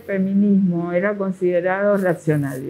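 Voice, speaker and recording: A woman with a medium pitch and a dark, mellow tone speaks at a moderate pace. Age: 70s. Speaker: activist. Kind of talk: interview.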